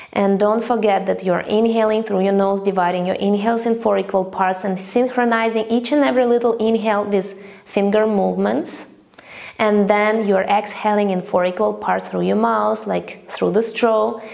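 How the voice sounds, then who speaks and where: At a moderate pace, a woman of medium pitch uses fairly even intonation in an unremarkable speaking voice. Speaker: breathwork teacher. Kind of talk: guided breathing practice instruction. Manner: calm, instructive.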